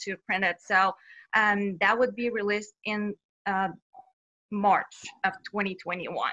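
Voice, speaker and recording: With a Bulgarian accent, a woman talks at a moderate pace in a bright, sharp tone. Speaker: children's author. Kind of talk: interview.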